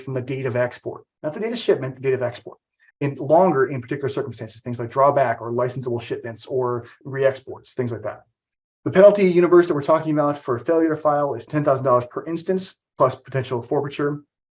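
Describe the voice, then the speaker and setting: At a very fast pace, a man with a fairly high, somewhat breathy voice speaks with ordinary pitch variation. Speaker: trade compliance trainer. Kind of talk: webinar presentation.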